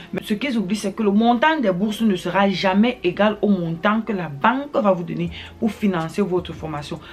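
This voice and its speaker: This woman talks at a moderate pace, her pitch medium with ordinary variation. Background noise is noticeable. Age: young. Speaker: newly licensed commercial pilot, YouTuber. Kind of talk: advice vlog. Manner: hesitant, frequent filler sounds.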